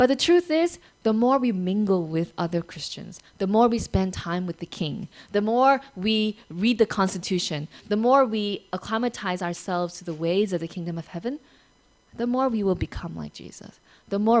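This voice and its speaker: A woman with an American accent, medium pitch, ordinary pitch variation and big swings in loudness. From United States. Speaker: pastor. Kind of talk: sermon. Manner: conversational.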